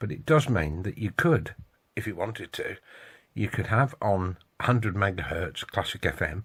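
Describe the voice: A man with a low pitch talks with lively intonation, a fairly bright tone and a slightly husky edge.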